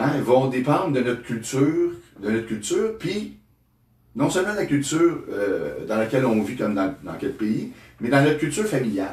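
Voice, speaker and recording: The voice is somewhat breathy, with very wide pitch swings and a Quebec accent. Room echo is audible. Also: man, medium pitch for a man, moderate pace. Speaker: therapist. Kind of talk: interview. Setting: studio. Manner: halting, many repetitions.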